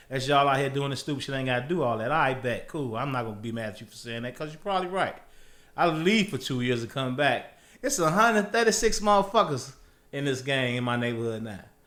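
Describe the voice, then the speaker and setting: Audible room echo trails speech delivered at a very fast pace. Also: man. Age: 40s. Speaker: former drug dealer, employee. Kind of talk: casual interview chat. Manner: animated.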